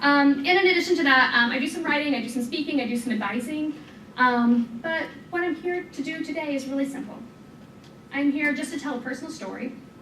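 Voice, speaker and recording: Someone speaks very fast with an American accent and ordinary pitch variation. Room echo is audible. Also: woman, high pitch for a woman. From US Midwest, southwest Missouri. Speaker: tech entrepreneur and speaker. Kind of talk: talk to a live audience. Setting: room with live audience. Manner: frequent fillers (um).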